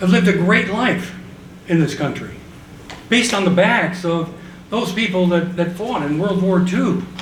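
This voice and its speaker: With a high pitch and fairly even intonation, a man talks at a moderate pace with long, frequent pauses, amid noticeable background noise and audible room echo. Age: 70s. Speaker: tax reform activist. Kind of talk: panel discussion remarks. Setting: conference panel with audience.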